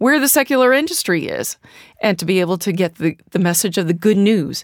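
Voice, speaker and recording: A woman with a normal speaking voice and an American accent talks at a fairly quick pace with lively intonation, in a dry, close sound with no echo. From US Midwest, St. Louis, Missouri. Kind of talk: casual interview. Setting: studio.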